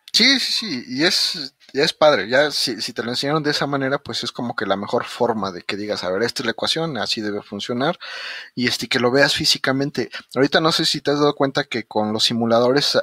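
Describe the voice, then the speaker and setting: With a Mexican accent, a man speaks fairly quickly at a medium pitch in a bright, sharp tone. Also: dry, close sound with no echo. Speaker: podcast host, engineer. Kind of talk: casual interview chat.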